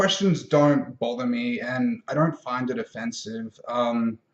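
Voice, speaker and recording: With ordinary pitch variation, a man talks at a very slow pace in a fairly high pitch. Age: 20s. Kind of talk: casual vlog monologue. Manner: halting, many filler words.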